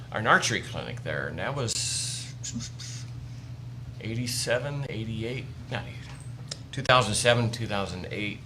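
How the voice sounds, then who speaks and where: A man at medium pitch and moderate pace, fairly even intonation, with noticeable background noise and audible room echo. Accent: American. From US Midwest, northwest Indiana. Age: 60s. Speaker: wildlife educator, army veteran. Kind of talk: casual interview chat.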